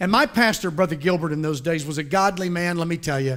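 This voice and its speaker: On a very clean recording with a silent background, a man with an American accent speaks in an animated tone with a high pitch and ordinary pitch variation. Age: 50s. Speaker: pastor. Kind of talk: sermon.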